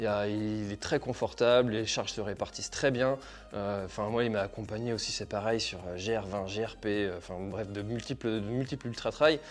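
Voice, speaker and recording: Light background noise sits behind a man speaking. His pitch is fairly low and his intonation fairly even. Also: moderate pace. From France, Brittany (Finistère); Brittany, France. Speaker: trail running YouTuber. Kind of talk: gear review tutorial. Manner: casual, hesitant with fillers. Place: home room. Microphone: phone near.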